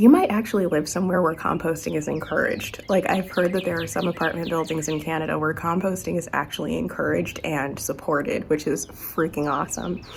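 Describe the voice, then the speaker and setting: A woman speaks at a fairly quick pace with a fairly low pitch. Noticeable background noise runs underneath. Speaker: gardening vlogger. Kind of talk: casual vlog talk.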